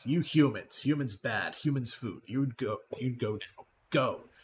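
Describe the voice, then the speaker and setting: A man growls in a put-on character voice at a medium pitch. His pace is fairly slow. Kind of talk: broken, simple speech. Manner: snarling, hostile.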